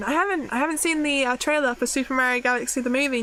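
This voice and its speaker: Speaking at a very fast pace, a woman uses a raised, projected voice at a high pitch. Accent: British. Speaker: vtuber streamer. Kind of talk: casual live-stream chat. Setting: live stream.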